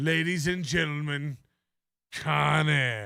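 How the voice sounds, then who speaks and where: A man uses a put-on character voice pitched fairly high. He speaks at a very slow pace. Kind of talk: faux announcer. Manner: pompous, mocking.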